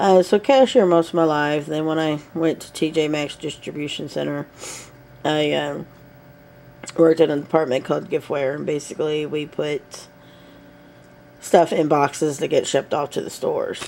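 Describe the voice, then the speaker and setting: Over noticeable background noise, a woman with a very deep, low pitch speaks at a moderate pace, with fairly even intonation, big swings in loudness and long, frequent pauses. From US South. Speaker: vlogger. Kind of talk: casual chat. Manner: hesitant, many fillers.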